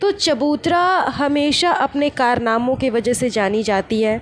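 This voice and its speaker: A high-pitched woman's voice against noticeable background noise. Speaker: gossip podcaster. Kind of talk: casual commentary podcast.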